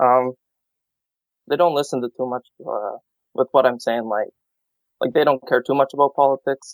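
A man with a Canadian accent, medium pitch and a moderate pace leaves long, frequent pauses in a dry, close recording with no echo. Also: fairly even intonation. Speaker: student. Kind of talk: call-in conversation.

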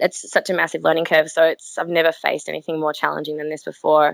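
The speaker talks very fast with vocal fry, and the sound is dry and close with no echo. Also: woman. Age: 20s. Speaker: school teacher. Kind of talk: call-in conversation.

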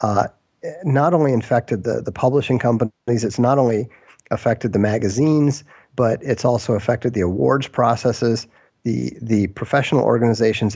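In a very clean recording with a silent background, a man uses a normal speaking voice of medium pitch, ordinary pitch variation and very even loudness at a moderate pace. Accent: American. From Minnesota, US Midwest. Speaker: author and game designer. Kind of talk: interview.

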